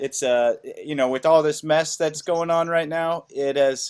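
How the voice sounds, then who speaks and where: Here a normal speaking voice moves at a fairly slow pace. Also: man. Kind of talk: casual podcast interview host.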